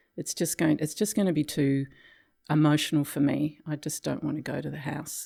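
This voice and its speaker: A woman with an Australian accent speaks at a fairly quick pace in a very deep, low, flat monotone, her dark, mellow tone edged with vocal fry in a very clean recording with a silent background. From Tasmania, Australia. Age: 70s. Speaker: retired psychiatric health worker. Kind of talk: interview storytelling.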